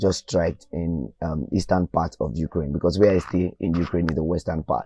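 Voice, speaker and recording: In a Nigerian accent, a man with a very deep, low pitch and a dark, mellow tone speaks at a moderate pace in fairly even intonation, with a dry, close sound with no echo and a quiet background. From Nigeria, Ogun State. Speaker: medical student. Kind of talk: interview testimony.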